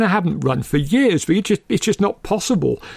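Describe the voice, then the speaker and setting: On a very clean recording with a silent background, a man with an English accent speaks at a fairly quick pace with lively intonation. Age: 60s. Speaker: film podcast co-host. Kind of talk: casual chat.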